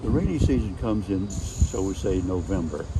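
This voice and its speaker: Music plays behind the speech. A man talks with lively intonation. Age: 80s+. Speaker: volunteer gardener. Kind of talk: interview answer.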